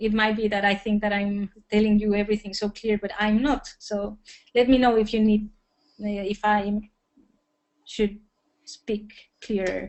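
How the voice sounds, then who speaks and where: A woman speaks in a fairly high voice at a fairly slow pace. Her pauses are long and frequent. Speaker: workshop presenter. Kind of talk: lecture.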